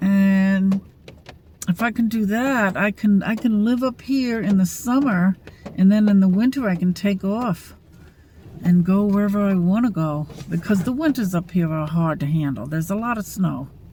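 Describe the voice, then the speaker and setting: A woman at a medium pitch and moderate pace, with ordinary pitch variation. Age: 60s. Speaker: vlogger. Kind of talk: casual vlog monologue. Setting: at rural camp, near a single-wide. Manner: halting, many fillers.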